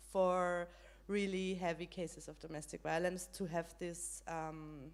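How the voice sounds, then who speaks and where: A woman with a German accent at a fairly slow pace. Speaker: panelist on women's rights. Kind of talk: panel discussion. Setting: stage with audience, live stream. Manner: halting, many fillers.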